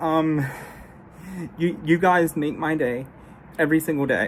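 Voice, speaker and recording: This woman's voice is very deep and low, with fairly even intonation and a fairly slow pace. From Russia (Siberia), adopted. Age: 30s. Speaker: YouTuber. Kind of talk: personal address to viewers. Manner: halting, repeats words and stutters.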